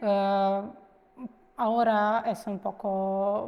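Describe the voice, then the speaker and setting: A dark, mellow tone comes through with a Ukrainian accent over a quiet background. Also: woman. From Ukraine, Kharkiv. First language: Ukrainian (speaking Spanish). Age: 30s. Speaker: immigrant interviewee. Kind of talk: interview. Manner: halting, many fillers.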